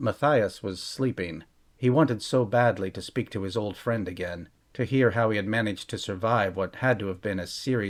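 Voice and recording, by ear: The pitch shifts in an ordinary way. It is reading aloud in a natural voice.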